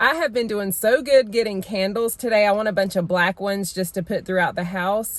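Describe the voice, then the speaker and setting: With a normal speaking voice, a woman of medium pitch talks at a fairly quick pace. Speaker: lifestyle vlogger. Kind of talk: casual vlog chat. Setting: in stores and car, on the go.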